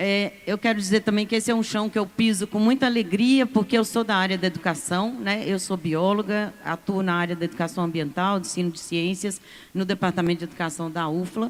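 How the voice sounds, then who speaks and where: A woman with a normal speaking voice speaks at a fairly quick pace with hardly any pauses, her medium pitch varying in an ordinary way. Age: 60s. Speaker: university professor and union representative. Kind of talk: conference panel speech.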